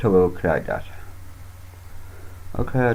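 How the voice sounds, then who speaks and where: Speaking at a moderate pace, a man with a British accent has a fairly low pitch and ordinary pitch variation. His voice is somewhat breathy. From United Kingdom. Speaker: Linux youtuber. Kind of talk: screen-recorded tutorial. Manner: casual, halting with fillers.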